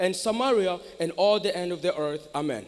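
A man talks in an animated tone at a fairly quick pace. His pitch varies in an ordinary way. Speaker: preacher. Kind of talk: sermon. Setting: church with congregation. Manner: animated, call-and-response; earnest, exhorting the congregation. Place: hall. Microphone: handheld.

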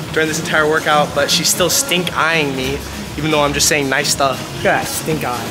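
A man speaking at a fairly quick pace, with clear music in the background. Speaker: workout guide. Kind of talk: casual vlog chat. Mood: teasing, playful. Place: gym. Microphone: phone near.

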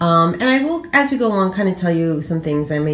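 At a fairly quick pace, a woman speaks with ordinary pitch variation over light background noise. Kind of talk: casual vlog chat. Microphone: phone near.

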